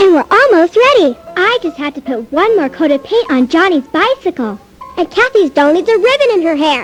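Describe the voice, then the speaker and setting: An extremely high-pitched, put-on character voice swings very widely in pitch at a moderate pace. Faint music sits in the background. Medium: audio drama.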